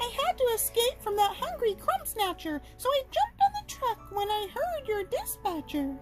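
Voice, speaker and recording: Over clear music in the background, a woman puts on a squeaky character voice. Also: moderate pace. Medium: read story.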